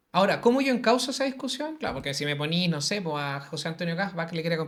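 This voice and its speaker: The speaker has a Chilean accent. The pace is very fast. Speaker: teacher and social media creator. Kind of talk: interview conversation.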